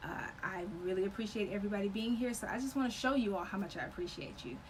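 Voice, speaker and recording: Ordinary pitch variation in a woman's voice, with noticeable background noise and audible room echo. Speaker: sewing and embroidery instructor. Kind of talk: live stream sales pitch. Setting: live video stream. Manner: animated.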